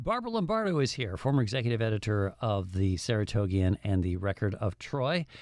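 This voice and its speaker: A man with an American accent speaks very fast with hardly any pauses. His fairly low voice has lively intonation. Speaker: media show host, former newspaper editor. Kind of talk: casual panel discussion.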